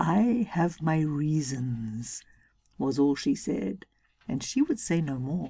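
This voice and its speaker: A woman speaks very slowly in a very deep, low, somewhat breathy voice. Her tone is dark and mellow, with very wide pitch swings. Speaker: storytelling podcaster. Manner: unhurried, animated, gently wry, dramatic emphasis on the legend.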